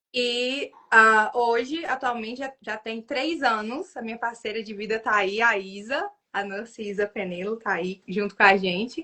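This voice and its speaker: A woman with a Minas Gerais accent speaks at a fairly slow pace, her loudness swinging widely while her pitch varies in an ordinary way. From northern Minas Gerais, Brazil. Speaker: nurse and exam tutor. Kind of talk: casual livestream interview. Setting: online livestream.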